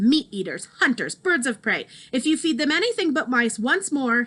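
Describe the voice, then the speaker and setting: Using a put-on character voice, a woman speaks at a high pitch. Her pitch swings very widely as she moves at a moderate pace. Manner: menacingly quiet.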